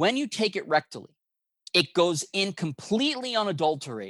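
A man talks at a moderate pace in an unremarkable speaking voice. His intonation is lively. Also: dry, close sound with no echo. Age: 50s. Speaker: doctor at a cancer therapy clinic. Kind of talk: interview.

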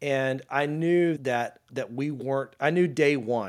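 A man's voice shows ordinary pitch variation, captured in a very clean recording against a silent background. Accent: Louisiana. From North Louisiana, small town near Shreveport. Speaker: sales executive. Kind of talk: interview. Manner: casual, animated.

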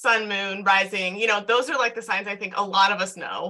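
Her pitch falls in the medium range. The woman's delivery is fairly quick. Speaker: podcast host and self love coach. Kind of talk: casual chat. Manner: fast.

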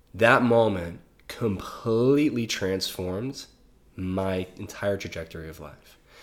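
In an American accent, this is an unremarkable speaking voice delivered at a fairly slow pace. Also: man, fairly low pitch for a man, ordinary pitch variation. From US South (small-town Louisiana). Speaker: breathwork and psychedelic facilitator, musician. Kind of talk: casual interview. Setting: in person in the host's space.

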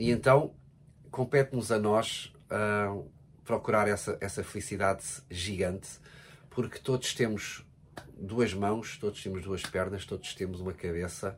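In a European Portuguese accent, a man speaks at a fairly low pitch with ordinary pitch variation. His pace is fairly slow, with long, frequent pauses. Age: 40s. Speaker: podcast co-host with his partner. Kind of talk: casual chat.

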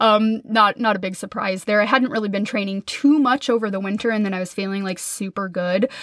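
In an American accent, a woman talks at a fairly quick pace and medium pitch with hardly any pauses. Her intonation is fairly even, and background noise is noticeable. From US Midwest, Minnesota. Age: 30s. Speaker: podcast host and business coach. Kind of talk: solo podcast monologue.

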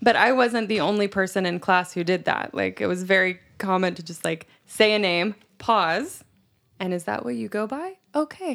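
A woman with an ordinary speaking voice talks at medium pitch and a moderate pace, her intonation lively. The recording is very clean with a silent background. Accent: American. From US South. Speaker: English teacher. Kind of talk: casual chat. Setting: studio.

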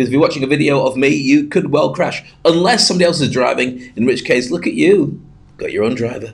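At a very fast pace, a man speaks with a British accent. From UK. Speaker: podcast host and speaking coach, ex radio journalist. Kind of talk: solo podcast monologue.

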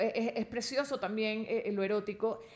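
Using a normal speaking voice, a woman speaks at a fairly high pitch with ordinary pitch variation. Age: 50s. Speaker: Gestalt therapist. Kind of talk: casual chat. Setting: recorded in a bedroom in Bogotá.

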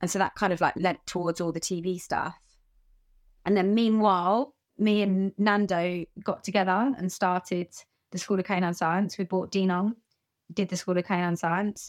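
In a southern English accent, a woman speaks at medium pitch and a moderate pace with fairly even intonation, in a very clean recording with a silent background. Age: 30s. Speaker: animal trainer. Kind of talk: interview.

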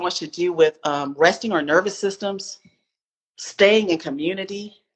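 A woman talks in a plain, everyday voice with an American accent. Her pitch variation is ordinary. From US South, Spartanburg, South Carolina. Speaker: author and equity consultant. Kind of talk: interview.

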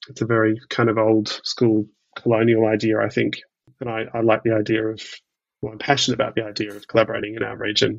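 A man talks very fast with an Australian accent. His medium-pitched voice stays monotone and flat. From Melbourne, Australia. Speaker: theatre producer. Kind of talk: interview. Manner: halting.

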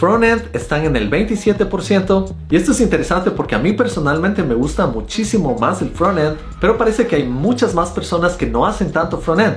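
A man's high-pitched voice swings very widely in pitch, leaving hardly any pauses. Noticeable background noise and audible room echo surround him. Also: moderate pace. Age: 30s. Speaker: software engineer and programming YouTuber. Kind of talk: tutorial.

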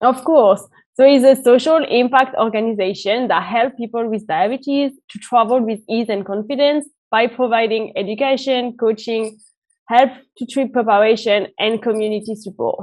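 With a French accent, a woman speaks in a fairly high voice. Her pace is moderate and her intonation fairly even. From France. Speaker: diabetes travel organization founder. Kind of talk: interview.

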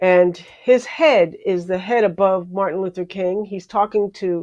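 With an American accent, a woman in an ordinary speaking voice talks at a fairly slow pace and medium pitch over a quiet background. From New York area. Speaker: television journalist and producer. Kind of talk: interview. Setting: live stream.

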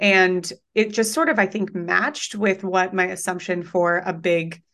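A woman with an unremarkable speaking voice and an American accent, at a fairly slow pace, with fairly even intonation and a quiet background. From Colorado. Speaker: online business coach. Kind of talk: interview conversation.

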